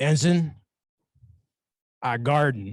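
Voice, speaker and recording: A man puts on a gruff character voice pitched fairly high. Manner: gruff and matter-of-fact.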